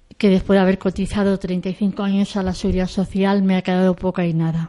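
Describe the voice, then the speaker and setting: Her voice is medium in pitch for a woman, with a dark, mellow tone and a monotone, flat intonation. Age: 50s. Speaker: early-retired pensioner. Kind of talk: impassioned commentary.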